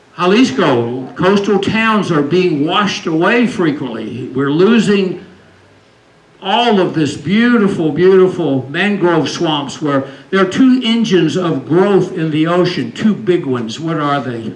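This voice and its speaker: Over noticeable background noise and with audible room echo, a man with a high voice speaks fairly slowly with lively intonation. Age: 70s. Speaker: climate educator. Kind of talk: lecture.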